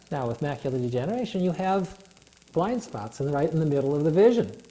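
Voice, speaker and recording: A man talks with lively intonation while noticeable background noise carries on behind him. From US, moved a lot (11 states, much of it Minnesota). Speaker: guest with visual impairment. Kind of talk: interview. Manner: halting, many fillers.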